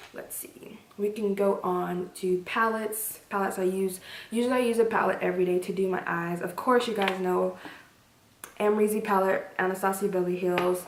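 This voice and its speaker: A woman speaks at a moderate pace in a medium, monotone voice with flat intonation, with audible room echo and noticeable background noise. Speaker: beauty vlogger. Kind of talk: casual product review to camera.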